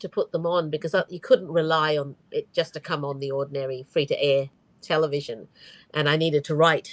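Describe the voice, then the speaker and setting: An Australian accent marks this woman's voice. Her delivery is fairly quick. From Australia, Brisbane, Queensland. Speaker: author. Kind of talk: video chat interview. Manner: hesitant, many fillers.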